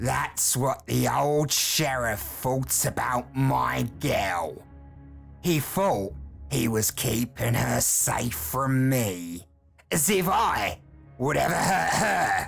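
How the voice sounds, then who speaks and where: A man puts on a character voice at medium pitch, growling and hissing at a very slow pace, with faint music in the background. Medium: read story. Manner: snarling, hissing, menacing.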